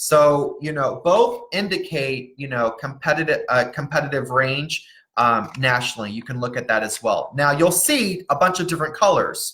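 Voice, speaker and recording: The speech moves at a moderate pace. There are hardly any pauses. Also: man. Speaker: college planning consultant. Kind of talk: live webinar presentation. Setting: Facebook Live stream.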